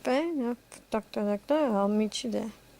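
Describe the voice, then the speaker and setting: Using a put-on character voice, a woman with a fairly high pitch speaks at a moderate pace with lively intonation in a dry, close sound with no echo. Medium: solo performance.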